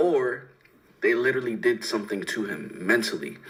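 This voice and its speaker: A man's medium-pitched voice with an American accent and lively intonation. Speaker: livestream reaction host. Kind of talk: casual livestream reaction commentary.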